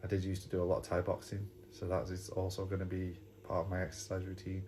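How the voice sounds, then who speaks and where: A man speaks with an English accent and vocal fry at a very deep, low pitch. His pace is fairly quick. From England. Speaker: YouTuber. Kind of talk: casual vlog talk. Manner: hesitant, repeats words.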